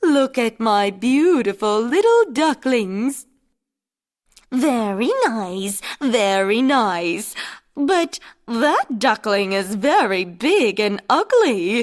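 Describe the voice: A woman speaks at a very slow pace in a fairly high pitch. She puts on a cartoonish character voice.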